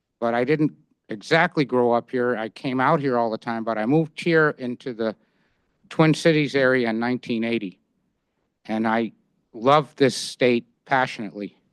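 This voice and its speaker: A man with a medium-pitched voice speaks at a moderate pace, with long, frequent pauses and ordinary pitch variation. The sound is dry and close with no echo, over a quiet background. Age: 60s. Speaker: member of the public commenting at county board meeting. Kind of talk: public comment at government meeting. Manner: halting, with many fillers and restarts.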